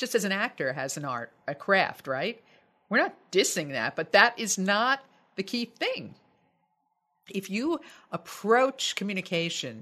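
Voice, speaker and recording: This woman's voice sits at a medium pitch with vocal fry. She speaks at a fairly slow pace, and her pitch swings very widely. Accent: American. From United States. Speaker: voice coach and broadcaster. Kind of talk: interview conversation.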